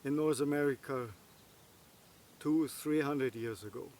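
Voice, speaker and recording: Fairly high-pitched male voice with fairly even intonation. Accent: non-native. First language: not English. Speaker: bushcraft and survival vlogger. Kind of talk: casual monologue to camera. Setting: outdoors. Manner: halting, many fillers.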